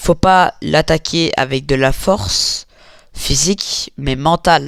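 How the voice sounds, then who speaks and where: Recorded very cleanly with a silent background, a man speaks very slowly at a high pitch. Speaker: animator and YouTuber reacting to reactions. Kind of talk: reaction video commentary. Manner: halting, many fillers.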